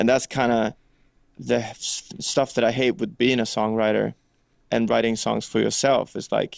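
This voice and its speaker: At a moderate pace, a man talks with a Swedish accent. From Sweden. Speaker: rock singer and songwriter. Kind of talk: interview. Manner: casual, animated.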